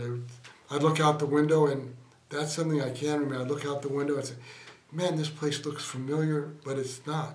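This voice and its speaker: Noticeable background noise and audible room echo surround a man speaking in a fairly high, flat monotone at a moderate pace. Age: 70s. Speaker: stroke survivor. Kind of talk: interview. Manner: halting.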